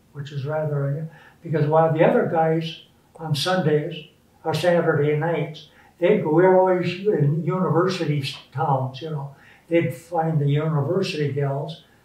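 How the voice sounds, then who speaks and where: In a room with audible echo, a man with a fairly high pitch speaks at a moderate pace with fairly even intonation. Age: 80s+. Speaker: war veteran. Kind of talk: interview.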